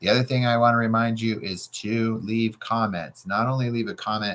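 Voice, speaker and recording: A moderate-paced male voice, fairly low in pitch. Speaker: real estate coach. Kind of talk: tutorial. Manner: loud; animated.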